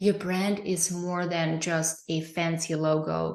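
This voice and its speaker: This woman has a non-native accent. Her voice sits fairly low. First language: not English. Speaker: presenter, business coach. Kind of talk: live online training. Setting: livestream. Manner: hesitant, with fillers.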